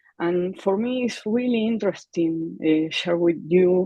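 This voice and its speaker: The speaker has an Argentine accent and ordinary pitch variation. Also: woman. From Argentina. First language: Spanish. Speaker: clarinet teacher. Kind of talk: panel discussion. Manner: halting.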